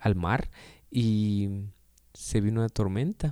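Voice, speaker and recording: Dark, mellow tone with ordinary pitch variation, on a very clean recording with a silent background. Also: man. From Guatemala. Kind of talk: devotional reflection. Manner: halting, frequent repetitions.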